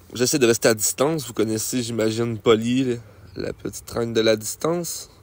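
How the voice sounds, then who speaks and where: A man speaks at a moderate pace with a Quebec accent and ordinary pitch variation. The recording is very clean, with a silent background. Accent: Québécois French. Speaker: gaming youtuber. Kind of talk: gameplay commentary. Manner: animated.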